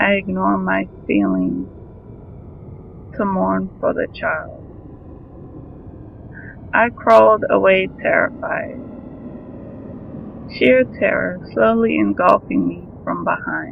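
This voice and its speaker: A man's very slow speech with long, frequent pauses over noticeable background noise. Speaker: horror story narrator. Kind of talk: horror story reading.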